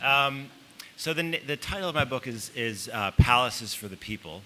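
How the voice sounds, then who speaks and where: A man with an American accent speaks at a moderate pace with ordinary pitch variation. Noticeable background noise runs underneath. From Chicago, US Midwest. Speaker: author. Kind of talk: panel talk. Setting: stage with audience. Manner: halting, many fillers.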